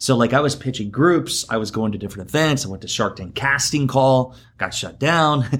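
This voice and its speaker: A man with an American accent speaks at a medium pitch and a fairly quick pace, with ordinary pitch variation and hardly any pauses. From Iowa, US Midwest. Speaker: entrepreneur and TV producer. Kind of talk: interview.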